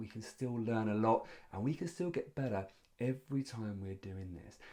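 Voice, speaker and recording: The tone of a man's voice is dark and mellow. He talks at a fairly quick pace. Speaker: public speaking coach. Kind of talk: tutorial. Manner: fast.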